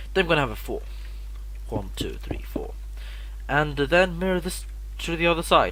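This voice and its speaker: A man talks at a moderate pace with long, frequent pauses. Audible room echo and noticeable background noise are present. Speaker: Minecraft tutorial maker. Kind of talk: tutorial. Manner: stuttering; halting.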